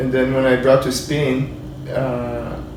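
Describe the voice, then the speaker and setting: A man with a medium pitch and a Portuguese accent talks in a monotone, flat intonation, with audible room echo and noticeable background noise. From Brazil. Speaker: 3D character modeler. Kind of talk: casual interview. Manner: halting.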